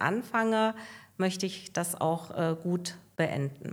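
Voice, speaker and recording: A woman's medium-pitched voice, calm in tone, at a very slow pace with ordinary pitch variation. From Hesse, Germany (northern Hesse). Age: 60s. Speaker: hotline employee. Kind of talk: casual interview.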